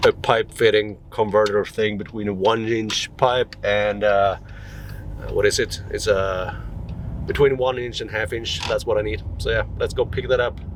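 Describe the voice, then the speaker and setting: Noticeable background noise sits behind a man whose speech runs fairly slowly. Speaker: DIY maker. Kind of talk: casual vlog narration. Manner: casual, joking.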